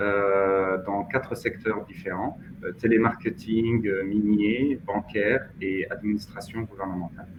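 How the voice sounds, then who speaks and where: Very slowly, a man talks at a fairly low pitch with ordinary pitch variation. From Mauritania. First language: Hassaniya Arabic (speaking French). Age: 30s. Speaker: finance professional. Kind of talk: interview. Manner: hesitant, many fillers.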